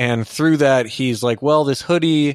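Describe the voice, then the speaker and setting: In a very clean recording with a silent background and a dry, close sound with no echo, a man with an ordinary speaking voice talks at a fairly quick pace with ordinary pitch variation. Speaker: podcast host. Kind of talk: casual chat. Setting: home studio.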